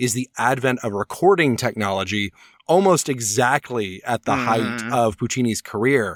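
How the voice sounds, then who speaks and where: A very clean recording with a silent background carries a man's unremarkable speaking voice at medium pitch with ordinary pitch variation. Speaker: opera talk radio host. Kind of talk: casual podcast discussion.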